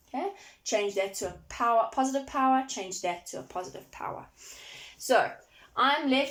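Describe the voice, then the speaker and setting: A woman talks at a fairly quick pace with ordinary pitch variation and an ordinary speaking voice. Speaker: maths teacher. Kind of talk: online lesson tutorial.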